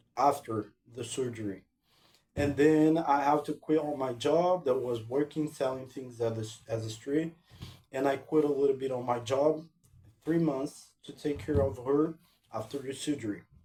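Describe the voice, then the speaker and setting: A man with a Portuguese accent at a moderate pace, fairly high in pitch with ordinary variation, music in the background. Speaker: language-learning vlogger. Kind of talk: casual vlog talk. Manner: halting, with many repetitions and fillers.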